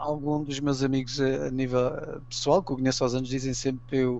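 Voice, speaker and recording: A man speaks with a Portuguese accent. His pace is fairly quick. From Portugal. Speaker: amateur archaeology enthusiast. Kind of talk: interview.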